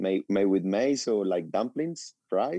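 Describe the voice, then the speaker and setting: A man with a Spanish accent, a fairly low pitch, ordinary pitch variation and a dark, mellow tone in a dry, close sound with no echo. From Colombia. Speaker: chef and restaurateur. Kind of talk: radio interview. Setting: phone call.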